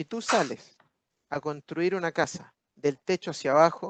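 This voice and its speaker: The voice belongs to a man. It sounds dry and close, without any echo. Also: quiet background. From Chile. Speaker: business speaker at webinar. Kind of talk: webinar talk answering questions. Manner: animated.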